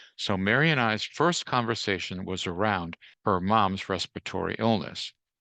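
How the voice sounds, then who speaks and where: With music in the background, a man with a fairly low pitch speaks with ordinary pitch variation, his voice dry and close with no echo. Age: 70s. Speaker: physician, widower of an actress. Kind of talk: interview storytelling.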